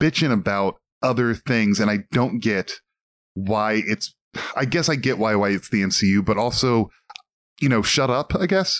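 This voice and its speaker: At a moderate pace, a man with an American accent speaks with very wide pitch swings, very even loudness and long, frequent pauses, in a dry, close sound with no echo. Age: 40s. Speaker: podcast co-host. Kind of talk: casual chat.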